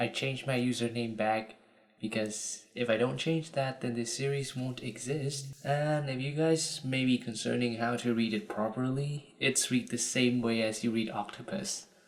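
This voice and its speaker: Speaking with a Vietnamese accent, a man uses a medium pitch with ordinary variation. He leaves hardly any pauses. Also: moderate pace. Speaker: YouTuber. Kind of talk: casual tutorial. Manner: casual.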